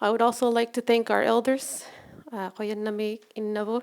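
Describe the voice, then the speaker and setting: A woman's fairly high voice at a moderate pace. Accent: Canadian Arctic. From Nunavut, Canada. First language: Inuktitut. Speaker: nurse and researcher. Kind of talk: storytelling presentation. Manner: halting.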